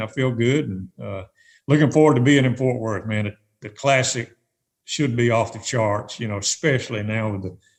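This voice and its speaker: At a moderate pace, a man talks in a medium pitch that is somewhat breathy, with ordinary pitch variation. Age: 60s. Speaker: retired tournament director. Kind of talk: podcast interview.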